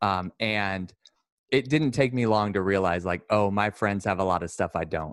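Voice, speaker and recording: A man's fairly low voice with an American accent, ordinary pitch variation and a moderate pace, dry and close with no echo. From US West Coast, Sacramento, California. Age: 20s. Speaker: student and aspiring minister. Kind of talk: casual interview.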